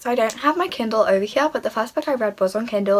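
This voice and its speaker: Her pitch fairly high and her intonation lively, a woman talks at a very fast pace over noticeable background noise. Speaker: book vlogger. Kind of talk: casual vlog monologue. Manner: animated, enthusiastic.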